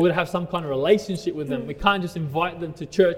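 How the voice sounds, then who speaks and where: A man with an Australian accent talks very fast at a high pitch with ordinary pitch variation. Noticeable background noise runs behind him. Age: 30s. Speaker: pastor. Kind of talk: sermon. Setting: church.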